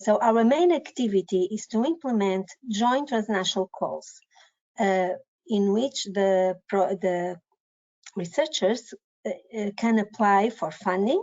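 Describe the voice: A woman's slightly mellow tone with lively intonation at a fairly slow pace. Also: medium pitch for a woman.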